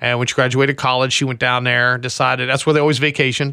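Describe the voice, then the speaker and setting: Speaking at a very fast pace with an American accent, a man has a bright, sharp tone in a very clean recording with a silent background. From California. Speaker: podcast guest. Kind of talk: casual chat.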